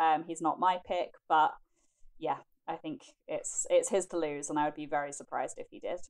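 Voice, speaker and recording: Speaking with a British accent at a moderate pace, a woman swings widely in loudness on a very clean recording with a silent background. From United Kingdom. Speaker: film critic panelist. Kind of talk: casual chat.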